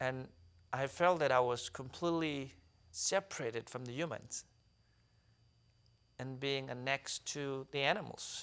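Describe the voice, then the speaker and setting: A man with a South Sudanese accent speaks at a fairly slow pace in a medium pitch, with ordinary pitch variation and long, frequent pauses. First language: Dinka. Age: 30s. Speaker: author and activist. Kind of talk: interview testimony.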